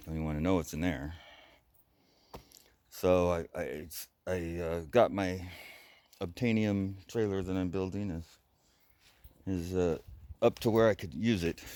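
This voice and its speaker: A man's very deep, low voice with a dark, mellow tone, fairly even intonation, and long, frequent pauses. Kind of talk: casual talk to camera.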